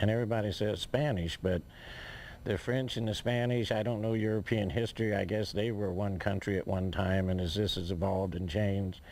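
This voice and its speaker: A man speaks at a fairly quick pace in an ordinary speaking voice, his fairly low pitch held at very even loudness. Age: 60s. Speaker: amateur historian and landowner. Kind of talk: interview answer. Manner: rambling, casual.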